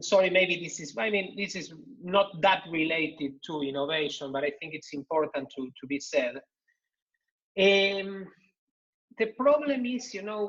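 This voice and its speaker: A man with a Spanish accent and a high pitch talks at a moderate pace, his loudness swinging widely. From Argentina. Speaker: think-tank economist, panelist. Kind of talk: online panel discussion. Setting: video call. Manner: halting, many repetitions and fillers.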